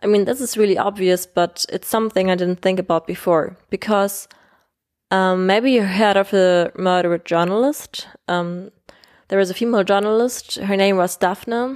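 Someone with a German accent speaks at a moderate pace and with fairly even intonation, captured in a very clean recording with a silent background. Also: woman, medium pitch for a woman. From Germany. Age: 20s. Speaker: podcast host. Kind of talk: solo podcast monologue. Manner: hesitant, many fillers.

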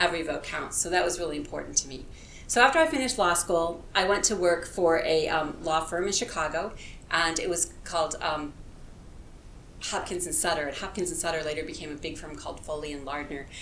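A woman with an American accent speaks at a fairly quick pace, her pitch fairly low with ordinary variation, over noticeable background noise and audible room echo. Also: big swings in loudness. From US Midwest, rural Illinois. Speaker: political candidate. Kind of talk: interview.

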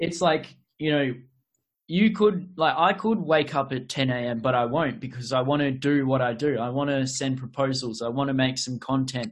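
Talking with an Australian accent at a moderate pace, a man keeps a medium pitch with ordinary pitch variation. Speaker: podcast host. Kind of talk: casual interview chat. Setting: online call.

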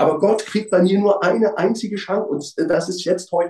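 This man has a dark, mellow tone. His pitch is high. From East Berlin, Germany. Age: 50s. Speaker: former hooligan. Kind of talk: testimony.

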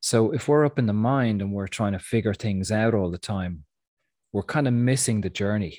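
Recorded very cleanly against a silent background, a man speaks at a moderate pace with a fairly low pitch, a dark, mellow tone and ordinary pitch variation. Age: 40s. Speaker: spiritual teacher and podcaster. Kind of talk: casual spiritual talk. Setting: at home on a couch.

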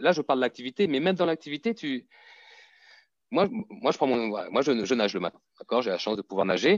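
Recorded dry and close with no echo against a quiet background, a man with a fairly high pitch uses very wide pitch swings. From Martinique. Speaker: fitness coach. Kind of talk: interview conversation.

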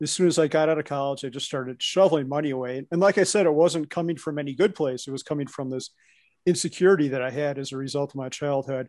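Speaking very fast with a Midwestern US accent, a man uses a fairly high pitch and ordinary pitch variation over a quiet background. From US Midwest. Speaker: co-working space owner and investor. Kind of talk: casual podcast interview. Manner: nervous at first with new people.

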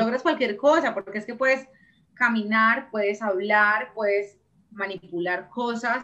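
At a fairly slow pace, a woman speaks in a bright, sharp tone with ordinary pitch variation. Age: 30s. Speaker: entrepreneur. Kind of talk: interview.

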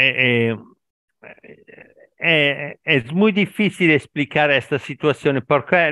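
Over a quiet background, a man with an Italian accent talks very slowly at a fairly high pitch, his tone bright and sharp. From Italy. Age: 50s. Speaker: language learner, factory worker. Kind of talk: casual conversation practice. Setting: online call. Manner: halting, mixes Italian and Spanish.

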